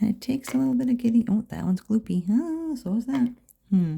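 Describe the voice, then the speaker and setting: A woman is speaking. Her voice is soft-spoken. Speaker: dot art painter. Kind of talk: ASMR painting tutorial talk. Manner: quiet, soft-spoken.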